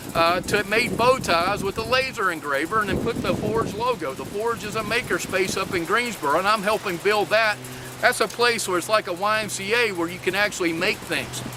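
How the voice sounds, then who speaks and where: A man with a Southern US accent and a high pitch uses a raised, projected voice with ordinary pitch variation over noticeable background noise. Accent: Southern drawl. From US South, Lexington, North Carolina. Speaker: maker and workforce advocate. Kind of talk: talk submission video. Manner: hesitant, many filler words.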